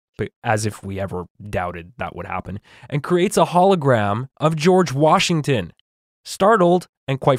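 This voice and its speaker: Speaking at a moderate pace with very wide pitch swings, a man with a Western Canadian accent comes through in a very clean recording with a silent background and a dry, close sound with no echo. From Canada. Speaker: podcast host recapping cartoon episodes. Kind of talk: casual chat with scripted plot recap.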